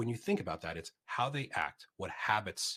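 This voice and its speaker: The delivery is animated, with lively intonation. The tone is bright and sharp. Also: man. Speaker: agile coach, conference speaker. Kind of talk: conference talk with Q&A. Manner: fast.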